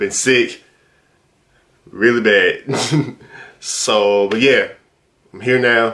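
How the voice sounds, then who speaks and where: Against a quiet background, a man of medium pitch speaks at a very slow pace with long, frequent pauses, big swings in loudness and fairly even intonation. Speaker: YouTube reaction video creator; reaction video creator. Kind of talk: casual reaction commentary. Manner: casual, halting with fillers. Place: home room.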